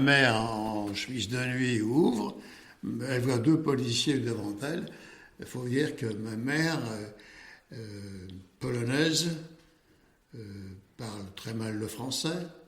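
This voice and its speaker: Talking at a very slow pace with long, frequent pauses, a man keeps a medium pitch with ordinary variation, his voice carrying audible room echo. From France, Paris. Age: 80s+. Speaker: Holocaust survivor, accountant. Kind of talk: testimony. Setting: office. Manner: halting.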